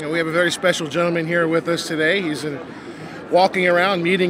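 A man with a high-pitched voice speaks over noticeable background noise, the sound dry and free of echo. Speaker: interviewer, roving host promoting local businesses. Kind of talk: live expo interview, upbeat promotional host. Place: hall. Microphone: handheld.

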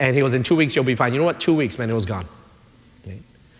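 A man speaks in an animated tone. Audible room echo and noticeable background noise fill the recording. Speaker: pastor. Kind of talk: sermon. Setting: church.

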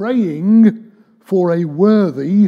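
The voice belongs to a man. It carries a dark, mellow tone. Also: quiet background. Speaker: preacher. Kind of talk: sermon. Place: church. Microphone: podium.

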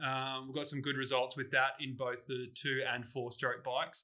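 The man's tone is bright and sharp. He talks at a moderate pace. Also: quiet background. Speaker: podcast host. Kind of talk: casual podcast chat. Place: garage.

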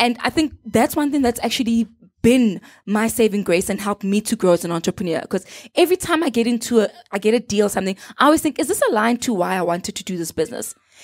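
Very fast speech with lively intonation over a quiet background. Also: woman, fairly high pitch for a woman. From South Africa, Gauteng. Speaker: social entrepreneur; guest. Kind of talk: casual chat. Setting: studio. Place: studio. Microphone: handheld.

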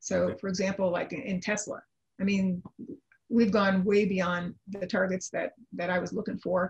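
A woman talks at a moderate pace in a somewhat breathy voice. Her intonation is monotone and flat, over a quiet background. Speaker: trading analyst. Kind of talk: interview. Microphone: video call.

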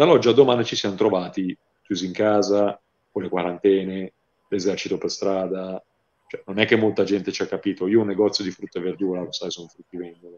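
This man has a plain, everyday voice, fairly low in pitch, with fairly even intonation, a fairly quick pace and big swings in loudness. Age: 30s. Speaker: horror novelist; interviewee. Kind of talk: interview. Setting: livestream. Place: home room. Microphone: earbuds.

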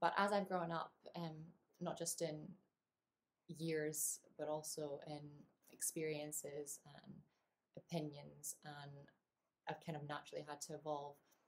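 At a fairly slow pace with long, frequent pauses, a woman with a very deep, low pitch speaks in a monotone, flat intonation. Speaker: associate producer and performer. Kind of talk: personal testimonial talk to camera. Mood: thoughtful, earnest. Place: home room. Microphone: webcam.

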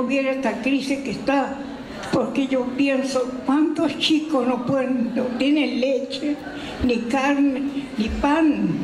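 The delivery is very slow, with monotone, flat intonation. Audible room echo and light background noise are present. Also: woman. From Argentina. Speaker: elderly guest being interviewed. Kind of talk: interview answer. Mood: earnest, wistful. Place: hall. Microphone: handheld.

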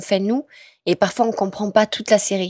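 At a moderate pace, a woman speaks at medium pitch with ordinary pitch variation, in a dry, close sound with no echo. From southwest France. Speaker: voice actress. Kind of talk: interview. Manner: hesitant, many fillers.

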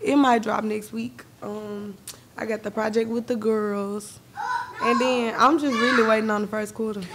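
Over noticeable background noise, a woman with a fairly high pitch talks at a moderate pace in a monotone, flat intonation. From Memphis, Tennessee (Glenview); Tennessee. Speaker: rapper; podcast guest. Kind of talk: casual interview. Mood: playful, laughing, joking. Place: studio. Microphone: studio mic.

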